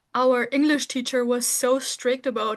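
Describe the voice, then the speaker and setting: A woman speaks in a high voice with a non-native accent. Her intonation stays monotone and flat. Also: quiet background. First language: not English. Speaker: podcast co-host. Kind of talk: casual chat.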